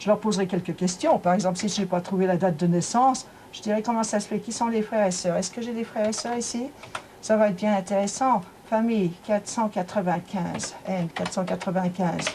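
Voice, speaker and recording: Noticeable background noise sits behind a woman's medium-pitched voice. She speaks fairly quickly with fairly even intonation. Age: 70s. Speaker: amateur genealogist. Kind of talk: interview in documentary report.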